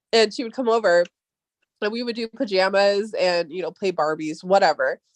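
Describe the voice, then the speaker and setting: A woman with an American accent at a medium pitch, fairly quick pace and ordinary pitch variation, in a dry, close sound with no echo. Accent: Valley Girl accent, toned down. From Southern California (San Fernando Valley). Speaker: podcast host. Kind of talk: casual chat.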